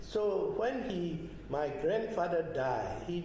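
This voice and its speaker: Speaking in a Burmese accent, a man with a high pitch and ordinary pitch variation is heard through noticeable background noise and audible room echo. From Myanmar, Yangon. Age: 80s+. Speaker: retired geologist and oil executive. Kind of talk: oral history interview. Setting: at his home.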